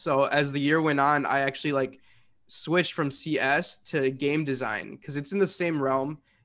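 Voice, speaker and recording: Speaking at a moderate pace, a man with a fairly high pitch and fairly even intonation has an unremarkable speaking voice. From US Midwest, Chicago suburbs. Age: 20s. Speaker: student intern, photographer. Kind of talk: casual interview.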